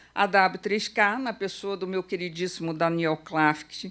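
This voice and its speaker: A woman speaks at a very slow pace with a medium pitch. The recording is very clean, with a silent background. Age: 60s. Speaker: event curator and organizer. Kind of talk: conference opening speech. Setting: auditorium with audience. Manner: conversational, uses fillers.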